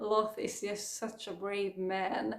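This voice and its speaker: With a Swedish accent, the voice moves at a very slow pace in a monotone, flat intonation. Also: woman. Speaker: book vlogger. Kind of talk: casual chat.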